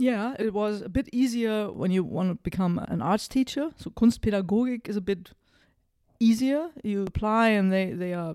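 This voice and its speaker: A German accent on a very clean recording with a silent background. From northern Germany, near Hanover. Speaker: ad school managing director. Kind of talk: interview conversation. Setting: in-person studio conversation.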